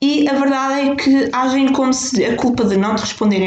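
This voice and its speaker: Ordinary pitch variation marks a woman speaking at a moderate pace. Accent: European Portuguese. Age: 20s. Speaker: podcast host. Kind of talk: solo monologue. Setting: home kitchen by fireplace.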